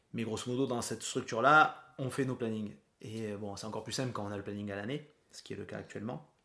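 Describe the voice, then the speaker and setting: This man has a bright, sharp tone at a medium pitch. He talks at a very fast pace. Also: ordinary pitch variation. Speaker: podcast host and nurse. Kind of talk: casual chat.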